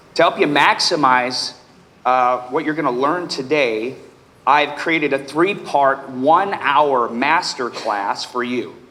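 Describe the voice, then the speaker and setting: Amid noticeable background noise and audible room echo, a man with an American accent speaks at a fairly high pitch with ordinary pitch variation. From Nebraska, US Midwest. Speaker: real estate coach and author. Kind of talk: conference panel introduction. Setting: stage with audience.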